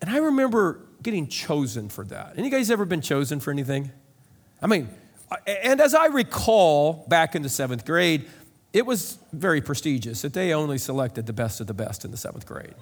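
A man with a Midwestern American accent, fairly high in pitch, with very wide pitch swings, big swings in loudness and a fairly quick pace. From US Midwest, rural central Illinois. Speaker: pastor. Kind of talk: sermon.

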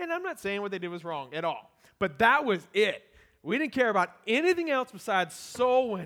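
A loud, high-pitched man with an American accent, fairly quick and animated, bright and sharp in tone, with very wide pitch swings. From US small town. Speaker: pastor, church planter. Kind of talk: sermon. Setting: church.

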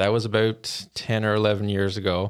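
The speaker is a man. He talks with a Newfoundland accent. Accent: Newfoundland (Bayman). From rural Newfoundland, Canada. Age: 30s. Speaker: intern. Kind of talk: interview.

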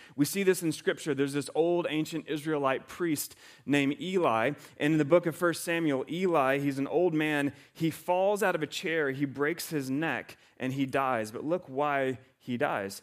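This man has an unremarkable speaking voice, fairly high in pitch, with ordinary pitch variation at a moderate pace. The recording is very clean, with a silent background. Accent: American. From US South. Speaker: pastor. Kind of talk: sermon.

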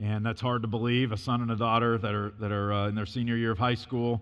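A man with an American accent speaks at medium pitch. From US Midwest, Illinois. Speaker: missionary and preacher. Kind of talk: sermon. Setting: church. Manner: loud, talks as if yelling.

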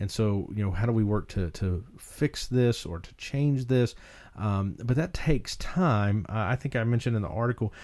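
A man speaks with a North Carolina accent at a medium pitch. His tone is dark and mellow, and the background is quiet. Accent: Southern US, North Carolina foothills. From rural North Carolina foothills. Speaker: podcast host, ministry leader. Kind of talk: podcast discussion about ministry. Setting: studio. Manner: uses many filler words.

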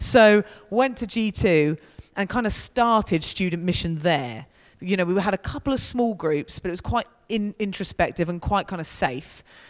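A woman with a southern English accent speaks at a moderate pace. Her medium-pitched voice has lively intonation. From southern England. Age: 30s. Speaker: student mission leader. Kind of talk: church talk with Q&A.

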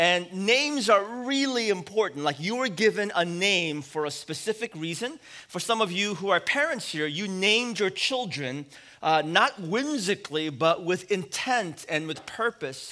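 Speaking in a West Coast American accent, a man projects a raised voice with a high pitch. His tone is bright and sharp, and his intonation lively. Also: moderate pace. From US West Coast, San Francisco. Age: 40s. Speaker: pastor. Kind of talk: sermon.

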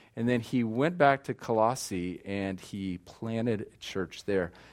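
A man talks in a plain, everyday voice with an American accent. His pitch variation is ordinary. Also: hardly any pauses. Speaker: missionary. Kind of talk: sermon. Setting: church.

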